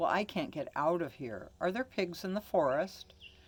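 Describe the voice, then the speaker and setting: Moderate pace and middle pitch in a put-on character voice. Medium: read story.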